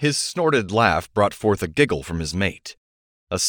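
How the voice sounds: The voice reads aloud naturally. Little can be heard behind it.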